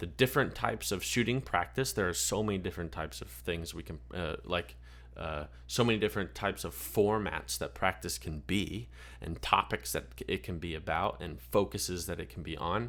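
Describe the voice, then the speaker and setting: A man speaks with a very deep, low pitch and some vocal fry, his pitch swinging very widely. The pace is fairly quick, and the recording is very clean with a silent background. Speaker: podcast host and clay shooting coach. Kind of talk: podcast monologue. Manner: hesitant, many fillers.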